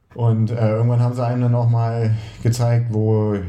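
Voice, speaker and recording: A man speaks at a medium pitch, with audible room echo around his voice. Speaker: triathlon coach and podcast co-host. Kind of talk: casual chat.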